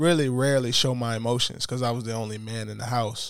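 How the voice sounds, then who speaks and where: A man with a normal speaking voice and an American accent, medium pitch, fairly even intonation and a moderate pace, in a very clean recording with a silent background and a dry, close sound with no echo. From US, inner-city neighborhood. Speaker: podcast host. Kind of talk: casual chat.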